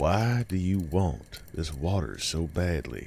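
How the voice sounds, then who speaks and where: A man speaks in a put-on character voice, very deep and raspy, with a calm tone at a fairly slow pace. Background noise is clearly heard. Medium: read story. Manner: slow, calm, questioning.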